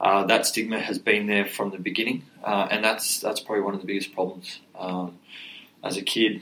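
This man has an Australian accent and a fairly low voice. He talks at a moderate pace in a monotone, flat way over noticeable background noise. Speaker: mental health charity co-founder, former rugby league player. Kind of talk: podcast interview.

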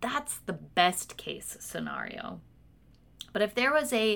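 This woman has an American accent. Her voice sits fairly high. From US Pacific Northwest (Washington). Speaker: pastor. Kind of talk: sermon.

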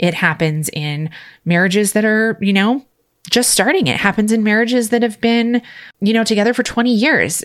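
A woman with a medium pitch and lively intonation has an unremarkable speaking voice. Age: 40s. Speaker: podcast host and nurse coach. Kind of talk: solo personal monologue.

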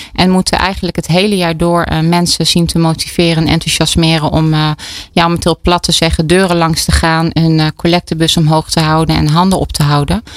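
Here a woman talks at a fairly quick pace and a fairly low pitch. Her loudness stays very even. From Brabant, Netherlands. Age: 40s. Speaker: entrepreneur, co-founder. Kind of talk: radio interview. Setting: studio. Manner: energetic; halting, many fillers.

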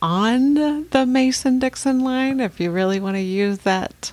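A woman uses a plain, everyday voice with an American accent, speaking at a fairly slow pace in a fairly high pitch with lively intonation. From California. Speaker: podcast co-host. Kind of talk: casual chat.

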